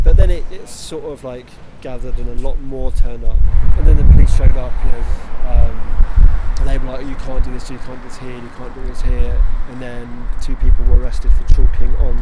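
Loud background noise runs under speech at a fairly quick pace, in a dry sound with no echo. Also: man. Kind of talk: interview answer. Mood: relaxed, slightly wry. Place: street. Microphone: handheld.

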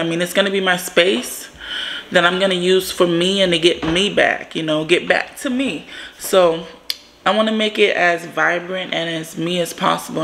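A woman speaks at a moderate pace with a fairly low pitch. Her pitch varies in an ordinary way, with light background noise. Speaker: home fitness vlogger. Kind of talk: casual vlog chat. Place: home room. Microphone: phone near.

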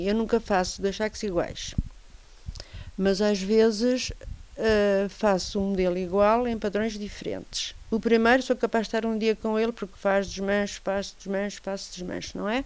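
A woman is speaking here. Her intonation is monotone and flat, and her pace is fairly slow. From Lisbon, Portugal; Portugal. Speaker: craftswoman. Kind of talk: interview. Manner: halting. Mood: calm, friendly. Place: home room. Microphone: handheld.

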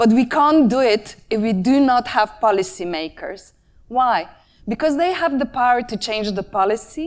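Against a quiet background, a woman speaks in a high voice. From Slovenia, Murska Sobota; Slovenia. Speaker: designer and conference speaker; conference speaker. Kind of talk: conference talk. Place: stage. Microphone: lapel.

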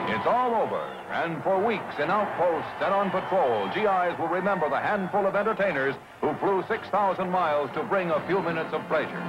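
Against noticeable background noise, a man with a high pitch talks at a fairly quick pace, with hardly any pauses, very even loudness and ordinary pitch variation. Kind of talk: newsreel narration.

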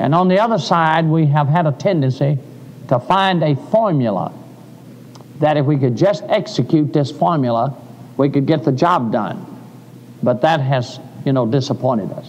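A man talks at a moderate pace. He leaves long, frequent pauses. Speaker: preacher. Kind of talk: sermon. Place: church.

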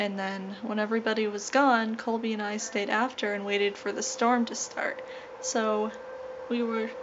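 A woman talks at a moderate pace with fairly even intonation. Light background noise is present. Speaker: vlogger. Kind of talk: casual vlog chat. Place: home room. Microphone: phone near.

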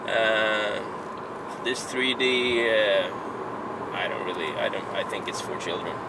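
Over noticeable background noise, a man speaks at a fairly slow pace, the sound dry with no echo. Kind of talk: casual vlog chat. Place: car. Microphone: camera far.

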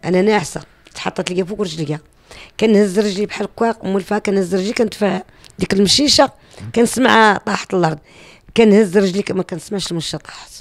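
Against a quiet background, a woman talks at a fairly quick pace with a medium pitch and ordinary pitch variation. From Morocco. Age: 50s. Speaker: YouTuber and cemetery-cleanup volunteer; YouTuber. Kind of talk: personal testimony. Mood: earnest, animated storytelling. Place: home room. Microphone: handheld.

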